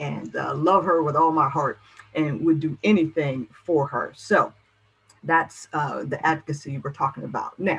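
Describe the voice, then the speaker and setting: Her pitch is very deep and low. The woman keeps a moderate pace. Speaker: motivational speaker on caregiving. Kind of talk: presentation. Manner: animated.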